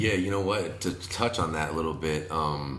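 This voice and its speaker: Ordinary pitch variation at a fairly slow pace, with audible room echo. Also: man. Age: 30s. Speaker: wedding DJ and MC. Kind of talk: casual podcast interview. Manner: energetic.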